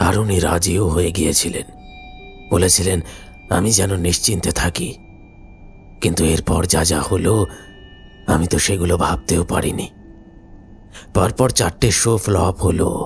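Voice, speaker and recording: A man's put-on character voice, very deep and low, over clear background music. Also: moderate pace. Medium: audio drama. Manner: slow, quiet, measured.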